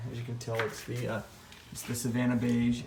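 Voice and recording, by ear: A man with a dark, mellow tone talks amid audible room echo.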